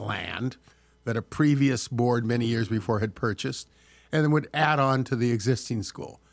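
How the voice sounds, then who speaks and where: At a moderate pace and with ordinary pitch variation, the speaker has a plain, everyday voice with an American accent. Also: man. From Southern California. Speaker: former state senator. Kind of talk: interview.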